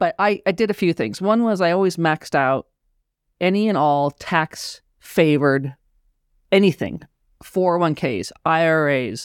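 A plain, everyday voice with lively intonation, very even loudness and a fairly slow pace, in a very clean recording with a silent background and a dry, close sound with no echo. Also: woman, fairly low pitch for a woman. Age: 50s. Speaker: financial planner and tax consultant. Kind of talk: casual podcast interview.

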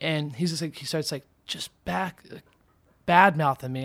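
A man with an American accent speaks at a fairly high pitch with ordinary pitch variation. The recording is very clean, dry and close, with no echo and a silent background. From Indiana. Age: 20s. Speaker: YouTube vlogger and BMX rider. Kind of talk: casual chat.

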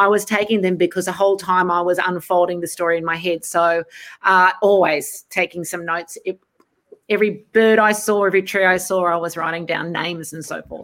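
In an Australian accent, a woman speaks at a fairly quick pace with a medium pitch and a monotone, flat intonation. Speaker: novelist. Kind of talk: panel discussion. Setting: video call.

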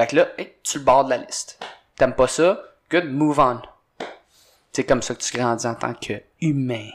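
A man at a moderate pace with long, frequent pauses, medium pitch and ordinary pitch variation. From Quebec. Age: 20s. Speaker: CrossFit coach and former hockey player. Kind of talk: casual chat.

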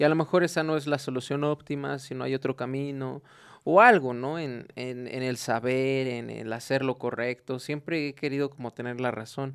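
In a very clean recording with a silent background, a man with an unremarkable speaking voice talks at medium pitch and a moderate pace, with fairly even intonation. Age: 20s. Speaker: industrial engineer and small business owner. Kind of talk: casual faith-based podcast chat.

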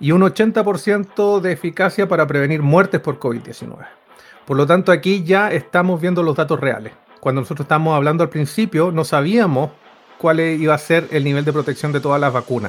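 This man has a fairly high pitch and ordinary pitch variation. He speaks at a moderate pace. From Chile. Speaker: microbiologist and science co-host. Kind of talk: casual science podcast chat. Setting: remote call from a colleague's house.

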